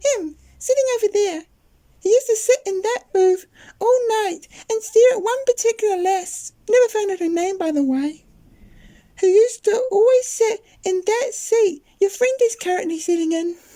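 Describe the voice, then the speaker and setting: At a medium speed, the speaker puts on a character voice. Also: man, extremely high pitch for a man. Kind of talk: comedy audio drama, one performer voicing all parts.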